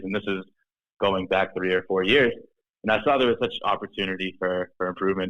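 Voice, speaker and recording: A man with a slight Boston accent, fairly low in pitch, at a moderate pace. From Boston, Massachusetts. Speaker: startup founder and CEO. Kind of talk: podcast interview. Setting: studio. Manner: halting, many fillers and restarts.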